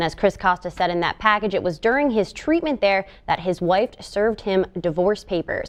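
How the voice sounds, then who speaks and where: A woman speaks fairly quickly in an ordinary speaking voice. Her medium pitch shows ordinary variation. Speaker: TV news anchor and reporter. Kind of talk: TV news anchor delivery.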